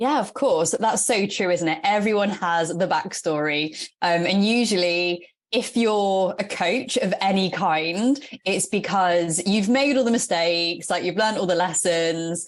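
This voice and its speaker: Speaking at a fairly slow pace, a woman with an English accent has a medium pitch and ordinary pitch variation. Her loudness stays very even. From England. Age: 30s. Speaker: fitness and nutrition coach. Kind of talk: podcast interview.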